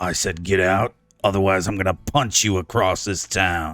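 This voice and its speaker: Putting on a character voice, a man growls in a raspy, very deep, low pitch at a moderate pace. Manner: growling, threatening.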